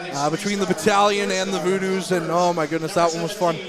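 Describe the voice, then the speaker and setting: Loud and high-pitched, a man speaks in monotone, flat intonation, with audible room echo and music in the background. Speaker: hockey play-by-play commentator. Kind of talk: live sports commentary.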